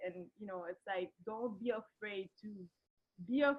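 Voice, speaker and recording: Fairly high in pitch, this woman's voice is somewhat breathy. She talks fairly slowly with ordinary pitch variation. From Haiti. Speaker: artist. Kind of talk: online webinar interview.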